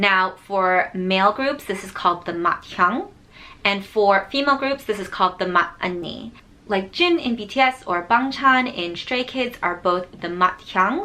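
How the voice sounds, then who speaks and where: A woman with an American accent talks at a medium pitch and a fairly slow pace, her intonation lively. Noticeable background noise sits behind her. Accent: Korean American. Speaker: author and video creator. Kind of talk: tutorial.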